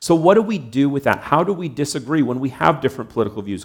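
This man talks very fast with a Canadian accent and a fairly high pitch. His voice has vocal fry, and the recording is very clean with a silent background. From Canada. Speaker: pastor. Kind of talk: sermon.

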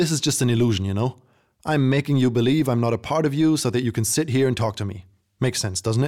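Heard against a quiet background, a natural reading voice moves with ordinary pitch variation.

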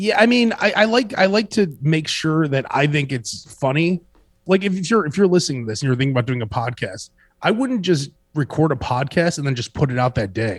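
A man with a Chicago accent, fairly high in pitch, his voice making very wide pitch swings. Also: fairly quick pace. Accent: Chicago American. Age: 40s. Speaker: radio host. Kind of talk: casual chat.

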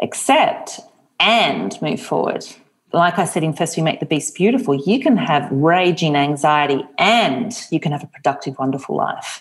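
With a normal speaking voice, a woman talks at a moderate pace, her fairly low pitch marked by lively intonation. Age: 40s. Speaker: author. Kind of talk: interview.

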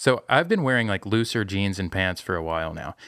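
A man with a plain, everyday voice speaks at a moderate pace with lively intonation, the sound dry and close with no echo. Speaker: podcast host. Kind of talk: casual chat.

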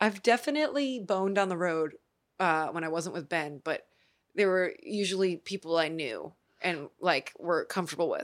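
A woman with an unremarkable speaking voice and an American accent, medium pitch, lively intonation and moderate pace, on a very clean recording with a silent background. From US Midwest, Cleveland, Ohio. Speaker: singer-songwriter. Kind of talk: casual interview.

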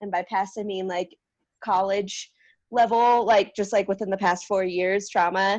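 A woman with a Californian accent speaks at a moderate pace and medium pitch in a flat, monotone way against a quiet background. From San Diego, California. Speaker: outdoor educator. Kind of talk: casual chat.

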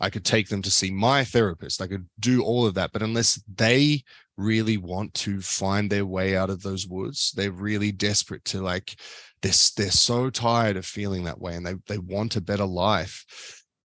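A man's fairly low voice at a moderate pace, with fairly even intonation, against a quiet background. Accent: Australian. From Australia. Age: 30s. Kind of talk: casual interview chat. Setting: video call.

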